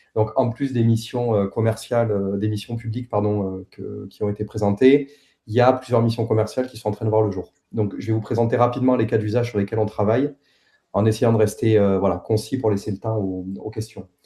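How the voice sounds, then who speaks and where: A man with a Toulouse accent talks at a fairly quick pace in a fairly low, somewhat breathy voice with a dark, mellow tone and monotone, flat intonation. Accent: southern French (Toulouse). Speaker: head of a satellite company's team, presenter. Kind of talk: technical presentation. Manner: hesitant, many filler sounds.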